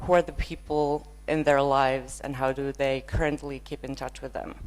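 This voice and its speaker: A woman with a Finnish accent talks at a moderate pace. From northern Finland. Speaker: user researcher. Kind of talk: conference keynote.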